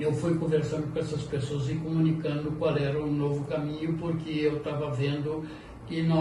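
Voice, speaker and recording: There is audible room echo and noticeable background noise. A man speaks with a fairly high pitch. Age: 70s. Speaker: lawyer and local politician. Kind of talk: interview.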